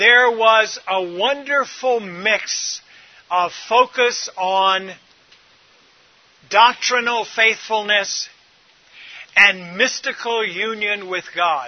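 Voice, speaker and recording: A man speaks loudly in a high voice, at a very slow pace with ordinary pitch variation. Long pauses come often. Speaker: preacher. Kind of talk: sermon.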